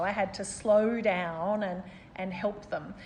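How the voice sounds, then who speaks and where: This woman's voice sits at a medium pitch. It has a somewhat breathy quality. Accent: Australian. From Australia, Melbourne. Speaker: city mayor. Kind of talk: interview.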